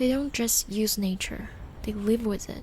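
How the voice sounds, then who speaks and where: The speaker is soft-spoken, with a gentle tone. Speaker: podcast host and storyteller. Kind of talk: soft-spoken late-night podcast / sleep-aid storytelling. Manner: soft-spoken, gentle.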